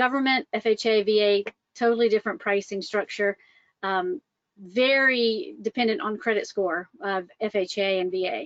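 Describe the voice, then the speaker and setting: Recorded dry and close with no echo, a woman with a Southern US accent speaks at a moderate pace in a fairly high pitch with ordinary pitch variation. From US South, Atlanta, Georgia. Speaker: mortgage loan officer. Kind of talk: webinar presentation. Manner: casual, many fillers.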